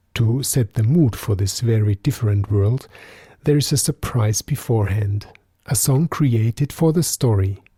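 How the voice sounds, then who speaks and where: In a German accent, a man speaks at a moderate pace with a dark, mellow, somewhat breathy tone, ordinary pitch variation and very even loudness, the sound dry and close with no echo. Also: medium pitch for a man, very clean recording, silent background. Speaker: podcast host and storyteller. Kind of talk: podcast introduction.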